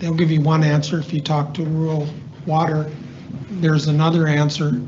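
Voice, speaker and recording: Over noticeable background noise and audible room echo, a man speaks at a fairly high pitch. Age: 70s. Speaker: member of the public giving comment, retired military project manager. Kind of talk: public comment at council meeting. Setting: county commission meeting room.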